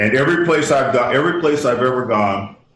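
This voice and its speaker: Audible room echo around a man talking fairly slowly. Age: 60s. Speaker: inventor and humanitarian worker. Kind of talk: radio interview. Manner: halting, many restarts; candid, plain-spoken.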